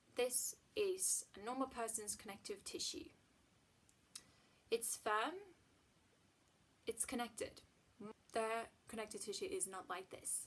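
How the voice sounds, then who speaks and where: A woman's fairly high voice with a slight Swedish accent, very wide pitch swings, a fairly slow pace and long, frequent pauses. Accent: near-native English, slight Swedish. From Sweden. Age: 20s. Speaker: chronic illness vlogger. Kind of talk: casual vlog monologue.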